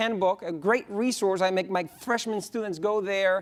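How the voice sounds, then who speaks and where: Using a Spanish accent, a man speaks at a high pitch. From Spain. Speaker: economics professor. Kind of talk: conference panel talk.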